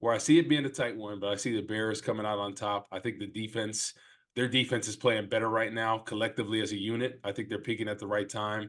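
A normal speaking voice from a man with an American accent, medium in pitch and fairly quick in pace. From New Jersey. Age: 30s. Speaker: former football player, podcast co-host. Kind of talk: casual sports chat.

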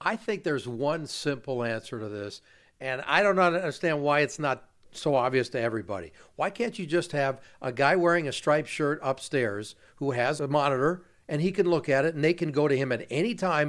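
In a very clean recording with a silent background, a man with an American accent uses an ordinary speaking voice, fairly high in pitch, at a fairly quick pace with lively intonation. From Los Angeles. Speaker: sports radio reporter and podcast host. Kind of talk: interview. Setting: at the guest's home.

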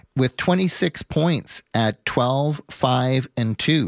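Recorded very clean with a silent background and a dry, close sound with no echo, a man with an ordinary speaking voice and a Canadian accent speaks at a medium pitch with lively intonation. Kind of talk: sports business commentary, talk radio monologue. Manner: fluent, polished, long-winded radio delivery.

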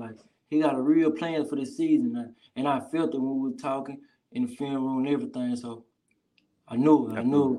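Here a man speaks with a fairly high pitch and ordinary pitch variation. He talks with a Southern US accent. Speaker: college football player. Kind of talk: casual interview.

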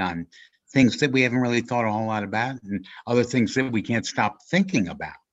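A man with an unremarkable speaking voice talks at a fairly quick pace in a medium pitch, with ordinary pitch variation over a quiet background. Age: middle-aged. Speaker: podcast host. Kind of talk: casual chat. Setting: video call.

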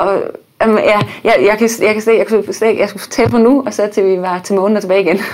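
A woman speaks fairly quickly, and noticeable background noise can be heard. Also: medium pitch for a woman. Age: 30s. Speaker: baking show winner, architect and blogger. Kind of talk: casual chat. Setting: studio.

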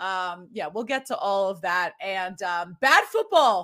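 A woman with an American accent speaks in a normal speaking voice at a fairly slow pace and medium pitch, with ordinary pitch variation. The recording is very clean, with a silent background. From Boston area, Massachusetts. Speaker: sports podcast host. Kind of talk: casual chat.

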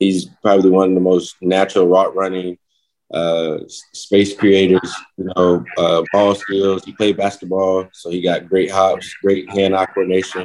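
A man with an American accent, very deep and low in pitch, flat and monotone, at a moderate pace. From North Carolina. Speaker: professional football player. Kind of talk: interview.

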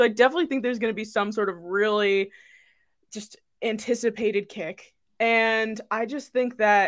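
A woman talks at a fairly quick pace in a plain, everyday voice. Her fairly high pitch comes through on a very clean recording with a silent background. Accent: American. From Staten Island, New York. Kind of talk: casual chat.

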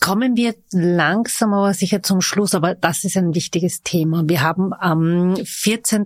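In a very clean recording with a silent background and a dry, close sound with no echo, a woman speaks in a plain, everyday voice at a fairly low pitch with ordinary pitch variation. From Vienna. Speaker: podcast host. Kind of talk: casual interview.

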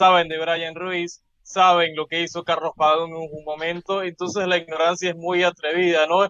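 A man's high-pitched, monotone, flat voice at a moderate pace. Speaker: radio co-host, sports commentator. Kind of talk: heated sports radio debate.

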